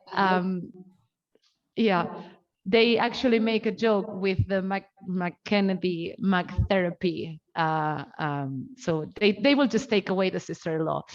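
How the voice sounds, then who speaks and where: A woman with a non-native accent at a medium pitch, very slow pace and ordinary pitch variation. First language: not English. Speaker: academic researcher presenting a talk. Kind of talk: research seminar presentation. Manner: hesitant, many filler sounds.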